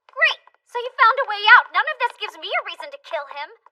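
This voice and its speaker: A woman's put-on character voice, extremely high and very fast, with very wide pitch swings and big jumps in loudness. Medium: fan dub. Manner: shrill, desperate.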